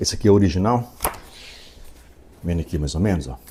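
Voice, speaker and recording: Very deep and low, a man's voice carries vocal fry and a dark, mellow tone. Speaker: audiobook narrator. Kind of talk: reading aloud; casual chat.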